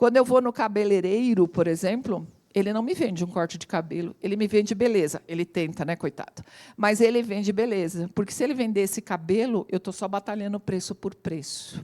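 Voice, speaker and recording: In a very clean recording with a silent background and a dry, close sound with no echo, a woman speaks at a fairly quick pace in a dark, mellow tone, her pitch medium with ordinary variation. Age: 60s. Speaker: AI consultant and lecturer. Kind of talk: talk to audience.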